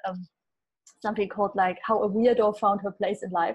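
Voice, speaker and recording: A woman's somewhat breathy voice with a dark, mellow tone, at a fairly quick pace against a quiet background. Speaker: gut health expert. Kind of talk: casual interview. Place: home room. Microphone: earbuds.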